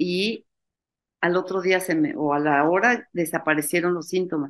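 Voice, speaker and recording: At a fairly slow pace, a woman speaks. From Mexico, Mexico City; Mexico. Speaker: university founder, spirituality event organizer; interview guest. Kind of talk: interview. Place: home room. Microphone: webcam.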